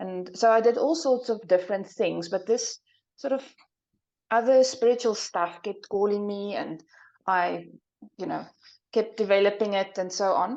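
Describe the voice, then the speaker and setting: Talking at a moderate pace, a woman with a South African accent uses a medium pitch with ordinary variation. She leaves long, frequent pauses. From South Africa, small town in the interior. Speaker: psychic and soul path coach. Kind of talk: interview.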